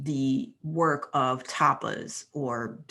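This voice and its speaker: Her intonation is lively. This woman's pitch is very deep and low. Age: 80s+. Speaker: yoga teacher. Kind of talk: talk on yoga philosophy. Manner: halting.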